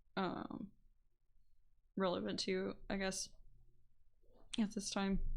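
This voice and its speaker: A soft-spoken woman at a medium pitch, very slow in pace, with vocal fry, monotone, flat intonation, and long, frequent pauses. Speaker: streamer. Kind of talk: casual chat. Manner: flat-toned; halting.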